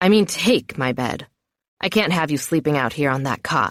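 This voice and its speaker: A woman growls in a put-on character voice with a very deep, low pitch at a moderate pace, on a very clean recording with a silent background. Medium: read story. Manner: gruff, terse.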